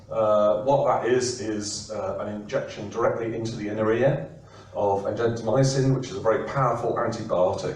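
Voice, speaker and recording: A man with an English accent talks at a moderate pace in a monotone, flat way. Noticeable background noise and audible room echo are present. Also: medium pitch for a man. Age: 60s. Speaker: professor. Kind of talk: presentation. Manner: hesitant, many fillers.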